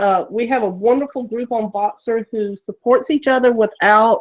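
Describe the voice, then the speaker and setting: A woman with an American accent speaks at a fairly slow pace in an ordinary speaking voice, with a fairly high pitch and fairly even intonation. The sound is dry and close, with no echo. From Florida, US South. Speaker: educator, online chat moderator. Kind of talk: casual chat.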